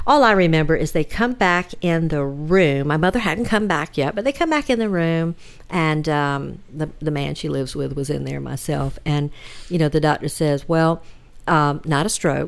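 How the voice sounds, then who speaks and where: Speaking at a moderate pace, a woman with a Southern US accent has a very deep, low pitch. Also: ordinary pitch variation, very clean recording, silent background. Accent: Southern US (Georgia). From US South, Georgia (Hinesville). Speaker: podcast guest, host's relative. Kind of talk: personal storytelling.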